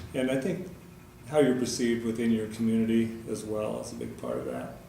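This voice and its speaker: Speaking at a fairly quick pace, a man with an American accent has a medium pitch and ordinary pitch variation, with noticeable background noise behind him. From Nebraska, USA. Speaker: auctioneer. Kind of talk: interview answer.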